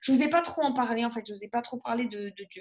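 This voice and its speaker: Her voice sits high in pitch for a woman and shows ordinary pitch variation. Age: 20s. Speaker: nurse and gospel singer giving testimony. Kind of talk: testimony. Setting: live broadcast. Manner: halting, many fillers.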